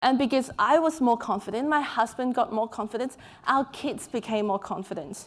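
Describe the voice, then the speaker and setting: A woman with a high-pitched voice speaks with lively intonation and a non-native accent. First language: not English. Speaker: author and keynote speaker. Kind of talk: keynote talk. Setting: stage with audience.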